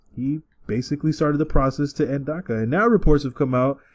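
An unremarkable speaking voice from a man with an American accent, moderate pace, ordinary pitch variation and a quiet background. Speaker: podcast host. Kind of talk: casual banter podcast.

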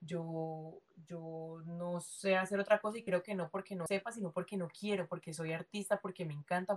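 This woman's voice holds a medium pitch and stays monotone, with flat intonation. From Colombia, Cali. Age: 20s. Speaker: dancer. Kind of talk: casual interview.

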